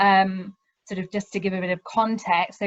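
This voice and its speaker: A woman's somewhat breathy, medium-pitched voice with a British accent at a moderate pace, in a dry, close recording with no echo. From UK. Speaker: university lecturer. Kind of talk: webinar presentation. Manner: hesitant, many ums.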